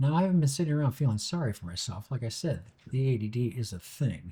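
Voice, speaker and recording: Somewhat breathy and dark, mellow in tone, a man of medium pitch speaks at a fairly quick pace with lively intonation. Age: 60s. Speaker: TV director and YouTube host. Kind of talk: scripted monologue.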